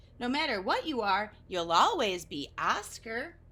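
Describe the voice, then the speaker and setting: A woman puts on a character voice at a fairly high pitch. Her pitch swings very widely at a moderate pace. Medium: read story. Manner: soft, quiet.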